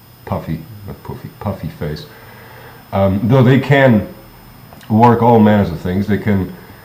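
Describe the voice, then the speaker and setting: A man's fairly low voice, fairly slow, with lively intonation, big swings in loudness, long and frequent pauses, and noticeable background noise. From Germany. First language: German. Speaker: vlogger. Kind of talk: casual monologue. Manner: halting, many fillers.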